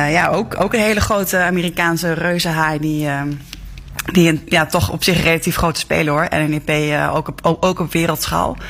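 Noticeable background noise sits behind a woman's fairly low voice. She speaks at a moderate pace with fairly even intonation. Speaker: newspaper journalist. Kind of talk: news discussion.

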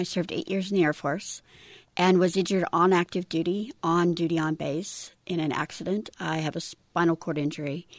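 Against a quiet background, a woman speaks fairly quickly in a fairly low pitch, the sound dry and close with no echo. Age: 50s. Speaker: veteran. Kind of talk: interview. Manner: animated.

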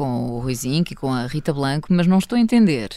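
Her intonation is lively and her pace fairly quick. This woman is heard in a very clean recording against a silent background. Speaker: radio host. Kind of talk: casual chat. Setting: studio.

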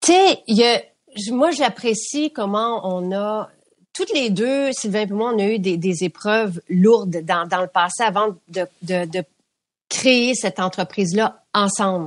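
A woman at medium pitch talks at a very slow pace. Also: ordinary pitch variation. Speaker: beauty products company founder. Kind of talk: interview.

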